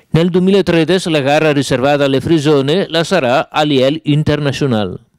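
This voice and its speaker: The speaker has a Lombard accent and a fairly quick pace. Loudness stays very even, with ordinary pitch variation. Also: man, fairly high pitch for a man. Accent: Brescian dialect. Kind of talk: TV news report.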